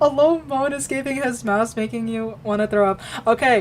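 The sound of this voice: Pitch varies in an ordinary way. The reading voice is unforced.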